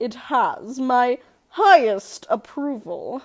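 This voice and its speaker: Very slow and high-pitched, a woman puts on a character voice that swings very widely in pitch. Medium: read story.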